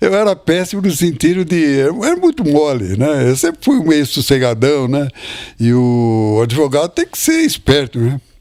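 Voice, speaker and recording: A man with a normal speaking voice talks at a fairly slow pace, his fairly high pitch moving with lively intonation. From Brazil, Botucatu, São Paulo interior. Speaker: retired biologist, former lawyer. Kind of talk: interview. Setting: at home.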